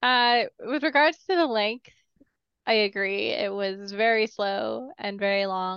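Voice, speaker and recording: A woman speaks at a fairly slow pace in a normal speaking voice. Her pitch is medium, with ordinary variation. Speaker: podcast co-host. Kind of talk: casual chat.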